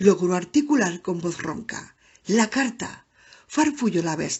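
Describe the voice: Lively intonation in plain reading aloud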